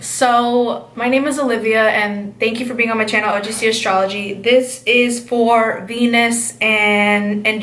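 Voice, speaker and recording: A woman with a fairly high pitch speaks at a fairly slow pace in an animated tone. Audible room echo and noticeable background noise fill the recording. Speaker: astrology channel host. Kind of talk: casual astrology monologue.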